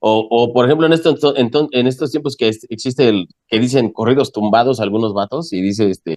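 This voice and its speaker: Speaking at a fairly quick pace with hardly any pauses, a man uses medium pitch and ordinary pitch variation. The sound is dry and close, with no echo. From Mexico City. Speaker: rock musician. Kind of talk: radio interview. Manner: casual, colloquial.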